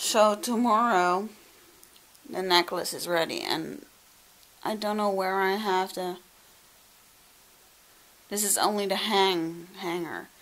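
A woman at a very slow pace, fairly even intonation, long, frequent pauses throughout. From Netherlands. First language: Dutch. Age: 20s. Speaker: vlogger. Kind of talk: casual vlog talk to camera. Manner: emotional, reflective. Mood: a little emotional. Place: home room. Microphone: phone near.

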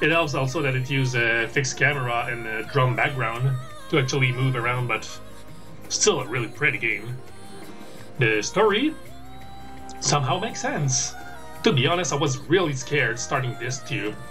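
Clear music plays behind a man who speaks at a medium pitch and a moderate pace, taking long, frequent pauses. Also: ordinary pitch variation. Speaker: gamer and streamer. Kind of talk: casual gameplay commentary. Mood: proud, relaxed. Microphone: webcam.

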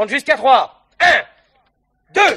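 Putting on a character voice, a man speaks slowly at an extremely high pitch with big pitch swings and a bright, sharp tone carrying a slightly husky edge.

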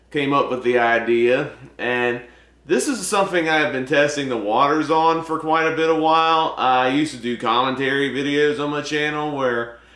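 His pitch moves in an ordinary way as he talks at a moderate speed. The room echoes audibly around the man. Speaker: movie vlogger. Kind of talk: casual vlog chat. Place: home room. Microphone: camera far.

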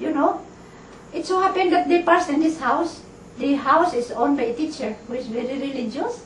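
Light background noise sits under audible room echo in this recording. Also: woman, high pitch for a woman, fairly quick pace. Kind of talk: interview answer. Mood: grave, storytelling. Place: home room.

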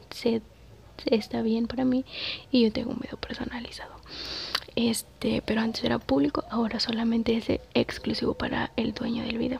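A soft-spoken woman talks at a moderate pace and a fairly high pitch with fairly even intonation. Light background noise is present. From Mexico. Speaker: ASMR content creator and mother. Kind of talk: casual talk to camera. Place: home room. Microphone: phone near.

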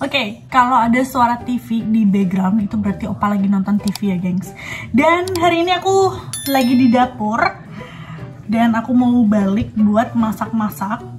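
Faint music plays in the background while a woman with a fairly high pitch and lively intonation speaks at a moderate pace. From Indonesia. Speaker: vlogger. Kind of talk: casual cooking vlog talk to camera. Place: kitchen. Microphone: phone near.

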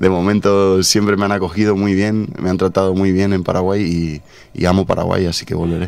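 A man's very deep, low voice in a monotone, flat delivery at a fairly quick pace. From Spain. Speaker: journalist. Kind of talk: radio interview. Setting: radio studio. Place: studio. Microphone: studio mic.

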